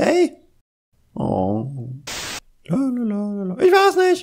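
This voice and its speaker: Very slow in pace, a put-on character voice holds a fairly high pitch. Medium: dub. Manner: playful, excited.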